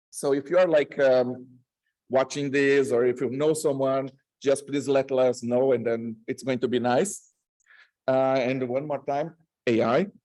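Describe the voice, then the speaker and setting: Dark, mellow tone with a strong Latin American accent, fairly even intonation, and a fairly slow pace. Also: man, medium pitch for a man. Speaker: researcher. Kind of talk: conference talk. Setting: stage with audience. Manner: halting, many fillers.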